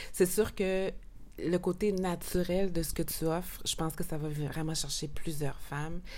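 Speaking at a fairly slow pace, a woman uses a fairly low pitch and a dark, mellow tone with fairly even intonation. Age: 40s. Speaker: beauty podcast host. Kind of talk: casual interview.

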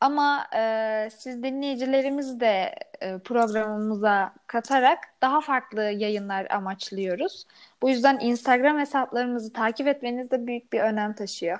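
Fairly slow pace and ordinary pitch variation over a quiet background. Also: woman, high pitch for a woman. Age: 20s. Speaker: podcast co-host, university student. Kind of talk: casual chat.

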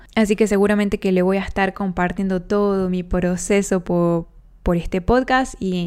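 A woman talks in an unremarkable speaking voice. Her pitch is medium and her pace moderate. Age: 20s. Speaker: podcast host. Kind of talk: personal monologue.

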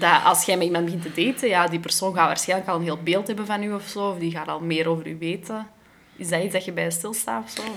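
A woman talks at a very fast pace with a fairly low pitch and ordinary pitch variation. Noticeable background noise sits behind her. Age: 20s. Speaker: podcast host. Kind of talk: casual chat.

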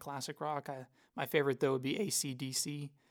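A man with an Oklahoma accent speaks in a monotone, with flat intonation. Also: very clean recording, silent background. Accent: Oklahoma American. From Tulsa, Oklahoma. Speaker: church ministry assistant. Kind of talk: casual chat.

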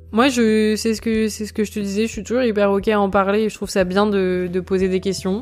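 Over music in the background, a woman talks at a fairly quick pace with hardly any pauses, her medium-pitched voice monotone and flat. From France, Burgundy. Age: 20s. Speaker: manager. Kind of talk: casual chat. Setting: at her home.

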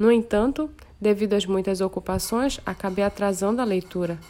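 A woman with a normal speaking voice talks at a moderate pace, her medium pitch showing ordinary pitch variation. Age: 30s. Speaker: church youth leader. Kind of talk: testimony.

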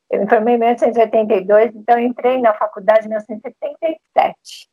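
A woman's fairly high, dark and mellow voice with ordinary pitch variation and a dry, close sound with no echo. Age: 60s. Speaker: retired physician. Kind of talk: interview panel discussion. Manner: halting.

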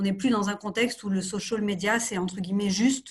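At a moderate pace, a woman talks at a medium pitch in a somewhat breathy voice. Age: 30s. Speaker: marketing executive. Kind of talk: interview.

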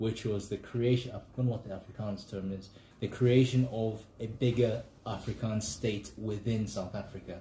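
Somewhat breathy and dark, mellow in tone, a man speaks at a moderate pace. His pitch variation is ordinary. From Zambia (Kitwe mining town). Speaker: podcast host. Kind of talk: casual chat. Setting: outdoors walking dogs.

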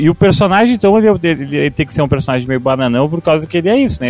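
Here a man speaks at a fairly high pitch. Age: 20s. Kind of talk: casual chat.

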